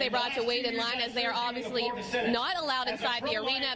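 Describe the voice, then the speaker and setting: Noticeable background noise fills the clip. Through it, a woman speaks in a high pitch. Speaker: television news reporter and anchor. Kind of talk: studio news anchor read and live shots.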